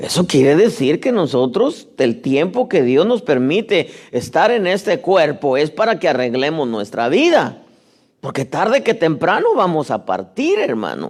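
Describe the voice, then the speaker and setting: Speaking at a fairly slow pace, a man's high voice makes very wide pitch swings. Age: 60s. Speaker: pastor. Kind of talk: sermon. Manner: repetitive stammering on words.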